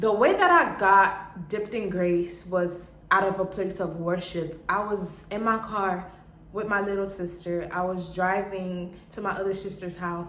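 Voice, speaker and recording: A woman talks at a medium pitch and a fairly slow pace, her intonation monotone and flat. Noticeable background noise and audible room echo are present. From Haiti. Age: 20s. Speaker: vlogger and clothing brand owner. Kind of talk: casual vlog introduction.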